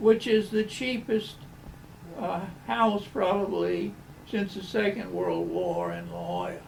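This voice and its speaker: A man with an American accent speaks at a fairly slow pace with big swings in loudness, over noticeable background noise. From US South. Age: 90s. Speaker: architect. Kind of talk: interview. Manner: halting.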